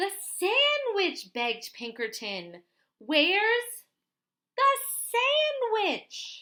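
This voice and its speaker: A woman's put-on character voice, extremely high in pitch with very wide swings, at a very slow pace with long, frequent pauses. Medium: read story. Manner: eager, pushy.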